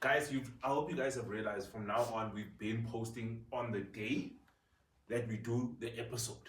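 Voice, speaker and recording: Somewhat breathy and animated in tone, a man speaks with audible room echo. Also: medium pitch for a man, moderate pace. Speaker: podcast host. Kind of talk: casual chat.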